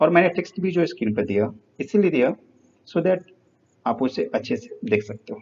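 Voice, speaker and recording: A man's high-pitched voice with very wide pitch swings, big swings in loudness, long and frequent pauses, and a moderate pace. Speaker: teacher. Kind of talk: lecture.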